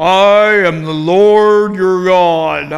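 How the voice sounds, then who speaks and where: This man puts on a character voice pitched high for a man. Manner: grandiose, pretending.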